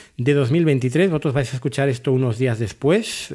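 Speaking at a moderate pace, a man with a fairly high-pitched, dark, mellow tone shows ordinary pitch variation. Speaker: TV series podcaster. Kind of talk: solo review monologue.

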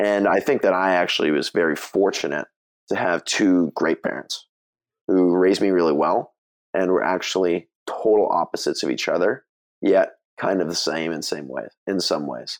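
The speech has a moderate pace and ordinary pitch variation. The sound is dry and close, with no echo. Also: man, very deep, low pitch for a man. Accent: American. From US West Coast, Bay Area (Mill Valley, California). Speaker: podcast founder and co-host. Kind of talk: casual interview.

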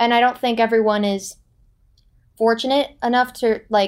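In a plain, everyday voice, a woman speaks at a fairly quick pace and fairly high pitch with fairly even intonation, on a very clean recording with a silent background. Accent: American. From Florida. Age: 20s. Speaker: student apprentice. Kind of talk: interview.

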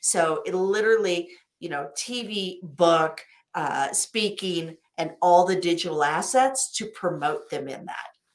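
Speaking at a fairly slow pace with an American accent, a woman has a fairly low voice with ordinary pitch variation and big swings in loudness. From US Midwest, Wichita, Kansas. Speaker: business coach. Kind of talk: interview.

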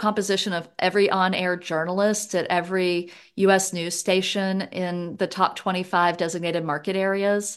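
The speaker, with a Southern accent, moves at a fairly slow pace in a monotone, flat intonation. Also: woman, quiet background. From US South (Louisiana, West Virginia, Georgia). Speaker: economics professor. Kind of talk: casual interview.

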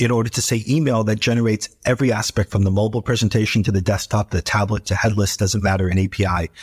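Speaking at a very fast pace, someone with an American accent sounds somewhat breathy. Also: man, dry, close sound with no echo, very clean recording, silent background. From New York City. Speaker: tech company founder and CEO. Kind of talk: interview.

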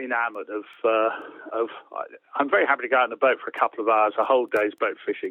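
A man talks at a very fast pace. He has an English accent. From England. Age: 60s. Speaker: author and angler. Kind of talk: casual interview chat.

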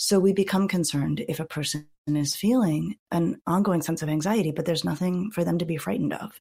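In a very clean recording with a silent background, the voice has a calm tone, a dark, mellow quality and vocal fry, moving at a fairly quick pace with hardly any pauses. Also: woman, fairly low pitch for a woman, ordinary pitch variation. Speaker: clinical psychologist and author. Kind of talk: interview conversation.

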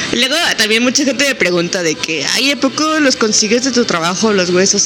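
A woman speaks at a moderate pace with lively intonation, over noticeable background noise. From Mexico, San Luis Potosí. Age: 20s. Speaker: veterinarian and photographer. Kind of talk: casual interview. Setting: in-person recording.

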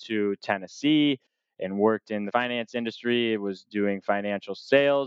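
In an American accent, a man with an ordinary speaking voice talks at a moderate pace and medium pitch with fairly even intonation. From Michigan, US. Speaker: cannabis industry advisor. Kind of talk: casual interview conversation.

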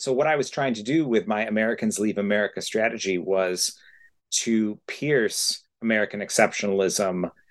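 A man speaks in a plain, everyday voice at a medium pitch against a quiet background. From central New York. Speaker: scientist and travel writer. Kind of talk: casual chat.

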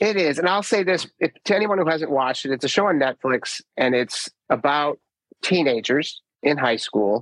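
With a normal speaking voice, a man talks at a moderate pace in a fairly high pitch, with lively intonation, very even loudness, and a dry, close sound with no echo. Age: 50s. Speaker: podcast host. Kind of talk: casual interview conversation.

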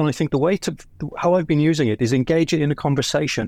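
A man with a British accent speaks with fairly even intonation. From Britain. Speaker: automotive industry professional. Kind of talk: audience comment in live audio.

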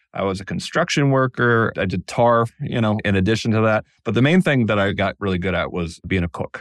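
A man with a normal speaking voice talks at a fairly quick pace with a fairly low pitch and hardly any pauses, on a very clean recording with a silent background. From Connecticut, US. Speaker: free speech advocate, author. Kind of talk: interview.

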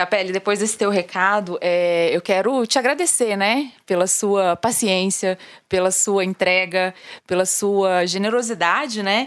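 A woman with an unremarkable speaking voice talks at a fairly slow pace in a medium pitch, with very even loudness and ordinary pitch variation. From Brazilian countryside. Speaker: podcast host. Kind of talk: interview.

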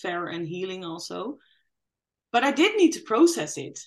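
A woman talks with a Dutch accent. Her pitch is medium. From Netherlands. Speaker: dance yoga teacher, guest sharing lived experience. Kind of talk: testimony.

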